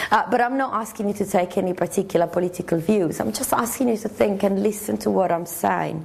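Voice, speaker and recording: A woman at a medium pitch talks at a very fast pace with ordinary pitch variation. Noticeable background noise runs behind her. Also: hardly any pauses. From Sardinia, Italy. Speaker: university lecturer. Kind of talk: lecture. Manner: animated, repetitive false starts.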